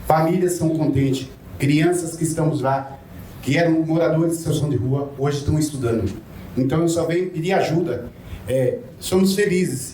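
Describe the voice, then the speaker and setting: A man speaks at a moderate pace and fairly high pitch, with ordinary pitch variation and very even loudness. Noticeable background noise and audible room echo surround him. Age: 60s. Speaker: former homeless resident, social housing tenant. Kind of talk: public testimony at seminar.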